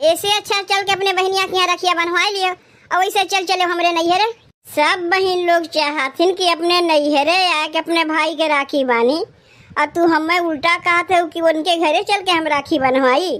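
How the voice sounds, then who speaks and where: A cartoonish character voice keeps very even loudness and fairly even intonation. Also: woman, extremely high pitch for a woman, moderate pace. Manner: sharp, scolding.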